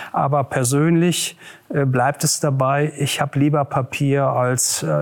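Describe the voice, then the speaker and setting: This man talks at a very slow pace, his pitch fairly high. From Ruhr area, Westphalia (Germany). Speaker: regional government official, former mayor. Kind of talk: interview.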